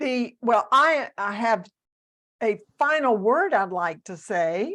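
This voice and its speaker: A woman talks with a Southern US accent in a fairly high voice. The background is quiet. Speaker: author, coach and speaker. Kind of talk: interview.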